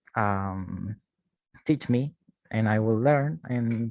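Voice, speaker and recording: A man with a Spanish accent speaks with lively intonation. The sound is dry and close with no echo over a quiet background. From Chile. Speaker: university teaching assistant. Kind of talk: online class.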